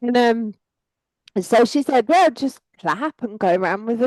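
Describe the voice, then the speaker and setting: Speaking with a strong English accent, a woman uses lively intonation at a fairly high pitch, her tone dark and mellow and the sound dry and close with no echo. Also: quiet background. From England. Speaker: psychic energy worker. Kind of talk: casual chat.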